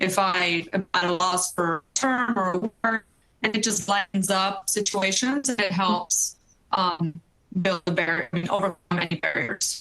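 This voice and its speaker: Music plays behind a woman speaking at a medium pitch. Her loudness stays very even. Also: ordinary pitch variation, moderate pace. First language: not English. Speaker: energy industry professional. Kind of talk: panel discussion.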